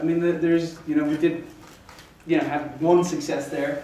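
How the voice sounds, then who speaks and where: A man speaks at a high pitch with ordinary pitch variation. Audible room echo and noticeable background noise surround him. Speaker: startup founder. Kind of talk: pitch presentation. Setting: stage with audience. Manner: halting; loud.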